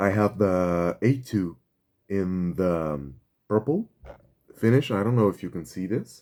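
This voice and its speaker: Long, frequent pauses mark the speech of a man with a fairly low pitch and a dark, mellow tone, on a very clean recording with a silent background. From Brazil. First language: Portuguese. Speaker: pen reviewer, YouTuber. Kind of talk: product review. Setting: home setup, no proper video gear. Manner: halting, many fillers and restarts.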